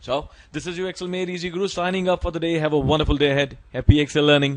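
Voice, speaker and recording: Talking at a very fast pace, a man with an Indian accent keeps a fairly high pitch and fairly even intonation. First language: Hindi. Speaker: Excel tutor. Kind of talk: tutorial.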